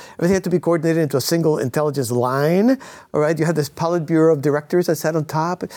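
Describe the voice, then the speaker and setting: In a very clean recording with a silent background, a man with an American accent talks at a very fast pace and a fairly high pitch. His tone is dark and mellow, with ordinary pitch variation and very even loudness. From Cuba, raised in the US from childhood. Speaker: author and former intelligence analyst. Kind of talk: interview.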